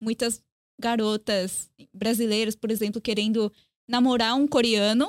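A woman with a fairly high pitch speaks fairly slowly in a monotone, flat delivery. Her long, frequent pauses come through a dry, close sound with no echo. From Brazil (Korean family; born Paraguay, lived Chile). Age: young. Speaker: journalist. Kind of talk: casual chat.

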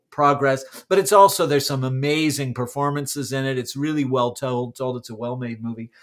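A man speaks in an unremarkable speaking voice with an American accent, his pitch fairly high and his intonation fairly even, on a very clean recording with a silent background. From California. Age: 50s. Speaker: podcast co-host, stage actor. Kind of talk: casual chat.

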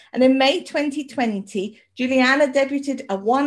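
In a British accent, a woman speaks with a high pitch. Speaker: podcast host. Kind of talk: casual chat.

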